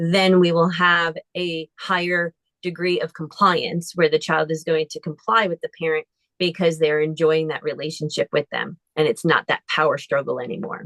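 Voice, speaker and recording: Recorded with a dry, close sound with no echo, a woman with an unremarkable speaking voice talks at a moderate pace, her pitch fairly low and her intonation fairly even. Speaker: therapist. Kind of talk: lecture.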